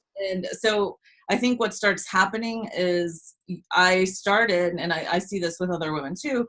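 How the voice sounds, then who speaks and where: Her pace is moderate. The woman's pitch is medium, with ordinary variation. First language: Spanish. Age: 30s. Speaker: business coach. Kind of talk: casual interview.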